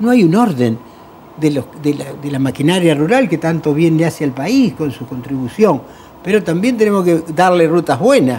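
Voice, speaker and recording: At a moderate pace, a man with a fairly high pitch and lively intonation speaks in an unremarkable speaking voice. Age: 60s. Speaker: road safety NGO president. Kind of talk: TV talk show panel discussion.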